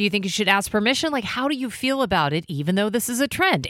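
A woman's fairly high, bright, sharp voice with a warm, upbeat tone and lively intonation, on a very clean recording with a silent background. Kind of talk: radio DJ patter, morning-show banter with traffic report and station promos. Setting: radio studio. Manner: chatty, warm, quick-talking, upbeat, finishing co-host's sentences.

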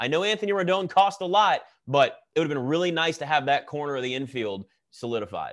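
A man talks at a fairly quick pace in an ordinary speaking voice, fairly high and with lively intonation. The background is quiet. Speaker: podcast host. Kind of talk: casual chat. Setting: video call.

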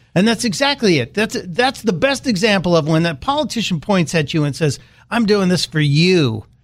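On a very clean recording with a silent background, a man with an American accent talks at a moderate pace. His pitch is high, with very wide swings, while his loudness stays very even. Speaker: political commentator. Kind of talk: political talk radio discussion.

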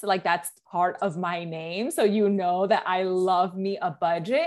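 Speaking with an American accent, a woman has a medium pitch and ordinary pitch variation at a fairly slow pace. The recording is very clean, with a silent background. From Bronx, New York. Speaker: lawyer turned author and personal finance educator. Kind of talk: interview.

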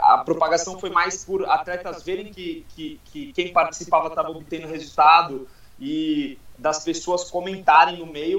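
A man's high, bright, sharp voice at a fairly slow pace, with fairly even intonation and big swings in loudness. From Guarujá, São Paulo coast, Brazil. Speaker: mental coach. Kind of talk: podcast interview. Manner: halting, frequent repetitions.

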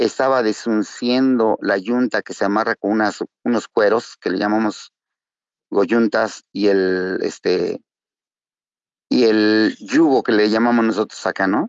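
A man's plain, everyday voice at medium pitch, with fairly even intonation and a fairly slow pace. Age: 50s. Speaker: recovering alcoholic. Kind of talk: testimony.

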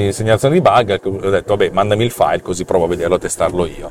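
A man talks at a very fast pace in a fairly low pitch, over noticeable background noise. The sound is dry and close, with no echo. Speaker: podcast host and developer. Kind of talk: angry rant. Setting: video recording on the way to the office. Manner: animated, sarcastic; swearing, irritated, blunt.

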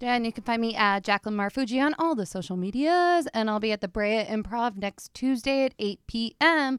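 With an American accent and an ordinary speaking voice, a woman talks at a fairly quick pace with hardly any pauses, fairly high pitch and lively intonation, on a very clean recording with a silent background and a dry, close sound free of echo. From New Jersey, Princeton. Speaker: comedian. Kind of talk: casual chat.

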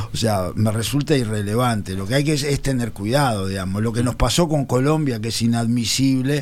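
Audible room echo carries a man's voice at a medium pitch. He talks at a fairly quick pace with ordinary pitch variation and hardly any pauses. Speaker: political panelist. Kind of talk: radio panel discussion. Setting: radio studio.

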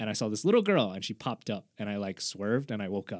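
A man at medium pitch with an ordinary speaking voice and lively intonation, fairly quick in pace, in a very clean recording with a silent background and a dry, close sound with no echo. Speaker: podcast co-host. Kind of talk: casual chat. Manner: casual, profane.

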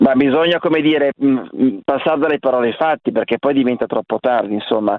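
Delivered at a very fast pace, the voice keeps a very even loudness and ordinary pitch variation. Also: man, medium pitch for a man. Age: 50s. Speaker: caller. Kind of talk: phone-in call.

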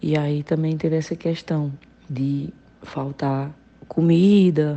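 The woman's fairly low voice stays monotone and flat. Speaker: listener contributor. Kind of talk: recorded voice message testimony.

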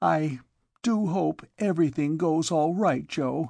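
Over a quiet background, a put-on character voice at a middle pitch moves at a fairly slow pace. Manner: unsteady.

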